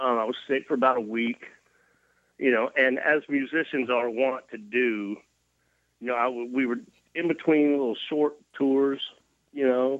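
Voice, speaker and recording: A fairly slow pace with long, frequent pauses, in a Tennessee accent. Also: man, medium pitch for a man. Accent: Tennessee Southern. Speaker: touring rock musician, interview guest.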